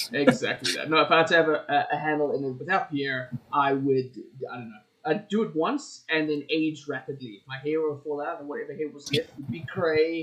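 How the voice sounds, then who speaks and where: Big swings in loudness mark a man's fairly high voice. He moves at a fairly quick pace with ordinary pitch variation. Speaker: podcast co-host. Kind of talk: casual chat. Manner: quieter than co-host today.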